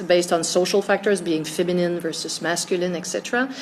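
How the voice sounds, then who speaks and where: A woman's medium-pitched voice at a very fast pace, flat and monotone, over noticeable background noise. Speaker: stress researcher. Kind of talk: interview. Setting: conference.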